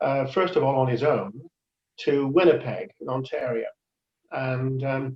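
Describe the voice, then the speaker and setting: A man with a Cardiff accent speaks at a fairly slow pace and a medium pitch, with ordinary pitch variation, long, frequent pauses, and music in the background. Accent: Welsh (Cardiff). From Wales, Cardiff. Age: 70s. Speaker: ukulele player and church member. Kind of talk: interview about his life. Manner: halting, many fillers.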